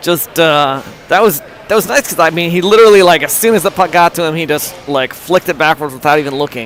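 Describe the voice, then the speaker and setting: Speaking at a very fast pace with hardly any pauses, a man uses a high pitch and ordinary pitch variation over noticeable background noise. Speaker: amateur livestream commentator for youth hockey. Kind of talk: live commentary. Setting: in the stands at an ice rink. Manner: animated.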